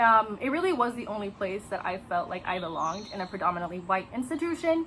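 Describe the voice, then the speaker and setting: At a fairly quick pace, a woman speaks with very wide pitch swings. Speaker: former theater student. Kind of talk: personal testimony.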